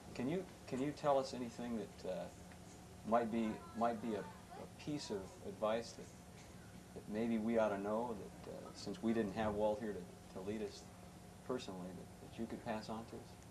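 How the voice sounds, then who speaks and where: A man speaks with long, frequent pauses. Audible room echo and noticeable background noise fill the recording. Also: medium pitch for a man, ordinary pitch variation, moderate pace. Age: 20s. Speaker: interviewer. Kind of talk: interview. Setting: theme park pavilion.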